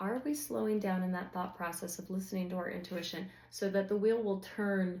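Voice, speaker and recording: In a room with audible echo, a woman speaks in a medium pitch with ordinary pitch variation and a somewhat breathy sound. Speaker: tarot reader. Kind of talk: tarot reading to camera. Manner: conversational, filler-heavy.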